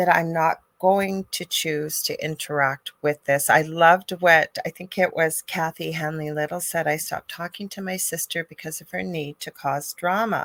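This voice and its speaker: With a Canadian accent, a woman speaks in a plain, everyday voice at a moderate pace, hardly pausing. Her pitch is fairly low and her intonation fairly even. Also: big swings in loudness, dry, close sound with no echo. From Canada. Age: 50s. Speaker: spiritual medium and energy healer. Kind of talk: casual chat.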